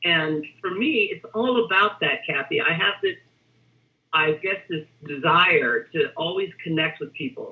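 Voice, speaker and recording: At a fairly slow pace, a woman of medium pitch talks in an ordinary speaking voice with lively intonation. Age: 60s. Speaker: retired human resources executive. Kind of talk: interview. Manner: conversational.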